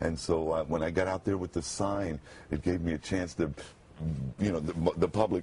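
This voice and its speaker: A man talks at a moderate pace with a very deep, low pitch. His voice is somewhat breathy, with ordinary pitch variation. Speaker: radio announcer. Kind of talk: TV interview answer. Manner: emotional.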